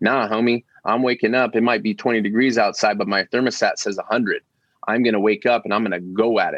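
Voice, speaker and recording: His pitch is medium. The man moves along at a fairly quick pace. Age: 20s. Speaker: former professional athlete. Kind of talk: casual interview chat. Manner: animated.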